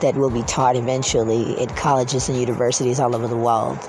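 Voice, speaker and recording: A man talks at a fairly quick pace with a medium pitch. The room echoes audibly, and background noise is noticeable. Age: 50s. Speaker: video blogger. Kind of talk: casual monologue. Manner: halting.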